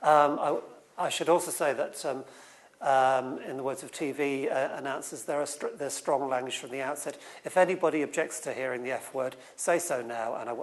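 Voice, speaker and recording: Fairly high male voice with big swings in loudness and audible room echo. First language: not English. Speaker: writer on science and society. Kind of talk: conference talk. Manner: halting, many repetitions and fillers.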